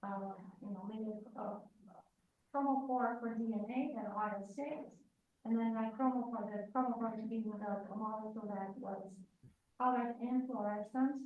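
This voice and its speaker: In a Romanian accent, a somewhat breathy woman speaks with fairly even intonation and long, frequent pauses amid audible room echo. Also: fairly high pitch for a woman, moderate pace. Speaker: industrial chemist, guest lecturer. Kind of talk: lecture. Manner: halting, many fillers.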